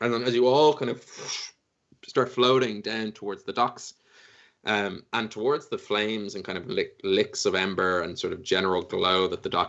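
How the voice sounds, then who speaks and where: With an Irish accent, a man speaks using ordinary pitch variation. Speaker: dungeon master. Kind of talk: tabletop roleplay narration; casual chat. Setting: live stream.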